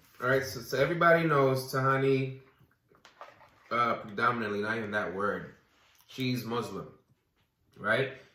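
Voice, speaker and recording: A man at medium pitch talks at a moderate pace with ordinary pitch variation and long, frequent pauses, and audible room echo fills the recording. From US Virgin Islands, Saint Croix. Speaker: recording artist. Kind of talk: casual chat.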